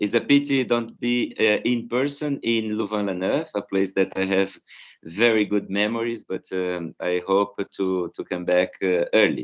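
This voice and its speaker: With a Brazilian Portuguese accent, a man speaks at a moderate pace and a fairly low pitch. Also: ordinary pitch variation. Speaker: philosophy professor. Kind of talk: academic conference talk. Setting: video call. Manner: halting, many fillers.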